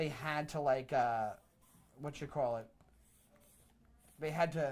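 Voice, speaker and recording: A man with an American accent speaks at a fairly slow pace, his pitch fairly high and his intonation fairly even. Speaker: comedian. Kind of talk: casual chat.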